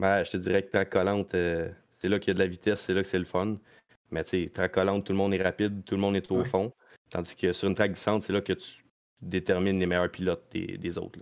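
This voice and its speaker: Monotone and flat, a man with a very deep, low pitch talks at a very fast pace. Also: very clean recording, silent background. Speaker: stock car racing driver. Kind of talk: casual chat.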